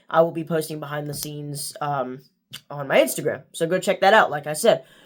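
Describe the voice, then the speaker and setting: The intonation stays fairly even. The recording is very clean with a silent background. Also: man. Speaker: youtuber book reviewer. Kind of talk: casual vlog outro. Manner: monotone.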